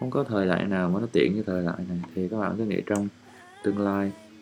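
The speaker has a relaxed tone, with music playing in the background. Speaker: podcast host and travel photographer. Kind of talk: casual monologue while editing photos. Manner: relaxed, confiding.

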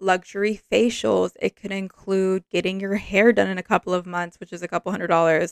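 With a normal speaking voice, a woman talks at a fairly quick pace and a medium pitch, heard in a dry, close recording with no echo. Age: 20s. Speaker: podcast host. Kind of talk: casual chat.

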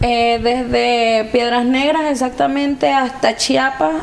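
A woman's high-pitched voice with lively intonation at a very slow pace, amid audible room echo and noticeable background noise. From Venezuela. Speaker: migrant. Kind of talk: testimony.

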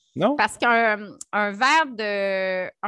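A woman's bright, sharp tone in a Quebec accent. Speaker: nutritionist and entrepreneur. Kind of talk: interview. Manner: animated.

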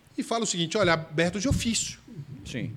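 Talking fairly quickly, a man lets his pitch swing very widely. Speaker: federal public defender. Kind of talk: casual interview chat.

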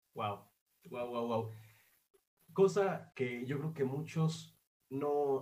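Somewhat breathy, a man's voice sits at medium pitch with ordinary pitch variation. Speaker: podcast host. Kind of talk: casual interview. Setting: remote interview.

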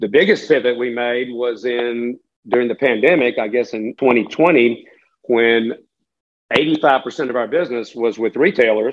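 In a Southern US accent, a man speaks fairly slowly at a medium pitch with ordinary pitch variation. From western North Carolina (Catawba County). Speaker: business owner. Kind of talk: interview.

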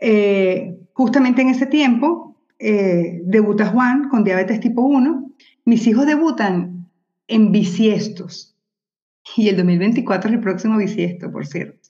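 Speaking at a very slow pace, a woman with a Venezuelan accent uses a fairly high, somewhat breathy voice and lively intonation. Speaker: journalist and mother of children with diabetes. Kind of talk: casual interview conversation.

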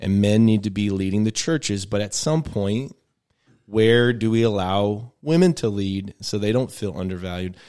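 A normal speaking voice, a man with a fairly low pitch and ordinary pitch variation. He talks at a moderate pace in a very clean recording with a silent background. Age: 30s. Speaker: pastor. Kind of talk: casual chat.

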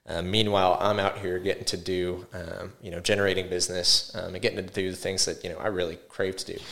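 A man speaks very fast with hardly any pauses, in a very deep, low voice with an American accent. His intonation is monotone and flat, and his loudness swings widely. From Houston, Texas. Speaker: real estate agent. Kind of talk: interview.

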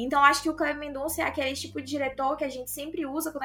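Over background music, a woman talks in a raised, projected voice at a very fast pace, her pitch high and her intonation fairly even. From Brazil, Northeast. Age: 20s. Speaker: film content creator. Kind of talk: casual chat.

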